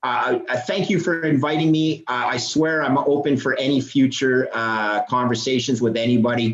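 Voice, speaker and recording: Here a man speaks with a Canadian accent. He has ordinary pitch variation and hardly any pauses. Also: medium pitch for a man, moderate pace. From Canada. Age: 50s. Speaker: bond trader and finance guest. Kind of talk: podcast interview. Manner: halting, many repeated words; animated.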